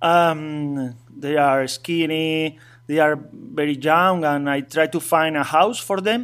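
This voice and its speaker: A man speaks with a Spanish accent. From Asturias, northern Spain. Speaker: bike traveler and dog trainer. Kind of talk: interview. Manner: halting.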